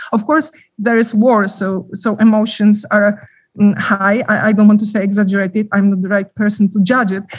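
Somewhat breathy, a woman speaks at a medium pitch and a moderate pace with fairly even intonation. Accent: Polish. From Poland. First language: Polish. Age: 40s. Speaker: journalist. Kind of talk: interview. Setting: remote call from Ukraine. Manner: halting.

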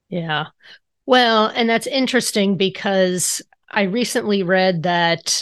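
A woman speaks in a normal speaking voice at medium pitch with lively intonation. The background is quiet. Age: 40s. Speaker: podcast host and financial coach. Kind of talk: casual interview.

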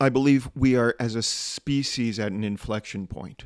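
A man with an American accent speaks at medium pitch with ordinary pitch variation, in a normal speaking voice. The recording is very clean and dry, close with no echo, over a silent background. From US, small town. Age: 50s. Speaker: storyteller and humorist. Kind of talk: interview.

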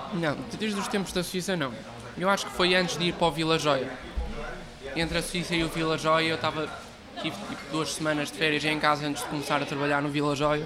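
Over noticeable background noise and audible room echo, a man talks fairly quickly at a fairly high pitch with fairly even intonation. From northern Portugal, Porto area. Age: 20s. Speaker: baker and miller. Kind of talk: interview. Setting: small café.

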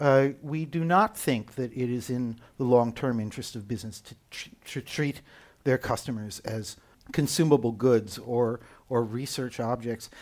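Recorded very cleanly against a silent background, a man with an American accent talks at a moderate pace in a plain, everyday voice, medium in pitch with ordinary variation and big swings in loudness. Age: 60s. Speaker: UX consultant and author. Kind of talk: casual interview conversation.

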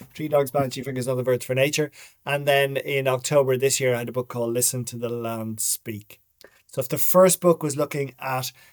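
Talking in a Dublin accent, a man speaks at a fairly quick pace. His pitch is medium and his intonation fairly even. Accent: Irish, Dublin. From Ireland, Dublin. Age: 50s. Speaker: writer and documentary maker. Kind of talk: casual interview.

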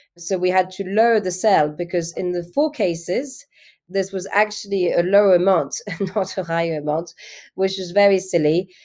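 Recorded very cleanly against a silent background, a woman with a dark, mellow tone speaks at medium pitch and a moderate pace with ordinary pitch variation. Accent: French. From France. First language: French. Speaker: art agency founder. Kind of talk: interview.

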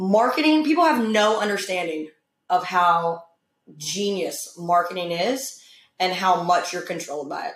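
A woman speaks in a normal speaking voice at medium pitch and a moderate pace. Her intonation is lively. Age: 30s. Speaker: gym owner and former teacher. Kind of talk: casual chat.

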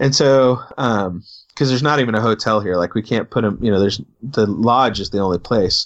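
A man with an American accent, an ordinary speaking voice, ordinary pitch variation and a fairly quick pace. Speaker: podcast co-host. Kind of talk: casual chat.

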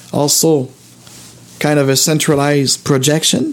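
A man speaks in an animated, enthusiastic tone. Noticeable background noise is present. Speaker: video podcast host. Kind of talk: solo live-stream monologue. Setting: home studio, live stream.

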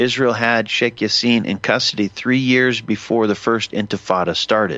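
Against a quiet background, a man with an unremarkable speaking voice and a fairly low pitch talks at a moderate pace. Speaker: radio host. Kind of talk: live talk radio monologue. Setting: studio. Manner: rambling, self-correcting, conversational; casual, digressive, filler-heavy.

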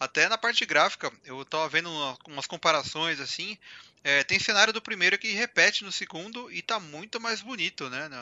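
A man speaks at a moderate pace with lively intonation. His pitch is high. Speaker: gaming podcast host. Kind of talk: casual chat.

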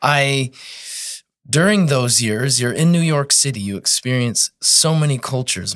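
A man speaks in a normal speaking voice with an American accent at a fairly slow pace. His pitch variation is ordinary, on a very clean recording with a silent background. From northern Colorado. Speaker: massage therapist. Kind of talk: casual interview chat.

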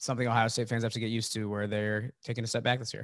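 A man speaks at a medium pitch. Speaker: sports podcast host. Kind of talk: casual interview. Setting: video call.

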